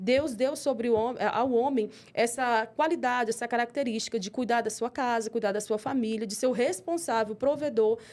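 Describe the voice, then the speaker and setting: A woman's animated, fairly high voice with a Brazilian accent and hardly any pauses, on a very clean recording with a silent background. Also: ordinary pitch variation. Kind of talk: interview. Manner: fast.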